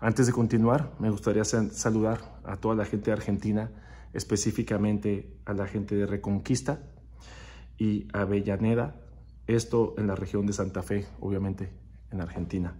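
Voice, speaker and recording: Here a man talks at a moderate pace with a fairly low pitch and vocal fry. His tone is dark and mellow, and his intonation is lively. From northern Mexico, Ciudad Juárez (border with El Paso); northern Mexico. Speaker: percussionist; interviewee. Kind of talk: recorded video interview answering questions. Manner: hesitant, with fillers. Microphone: phone near.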